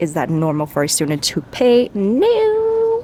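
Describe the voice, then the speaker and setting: The quiet voice sits against noticeable background noise. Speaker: vlogger, nursing student. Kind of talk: casual vlog talk. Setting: outdoors in a park. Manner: fast.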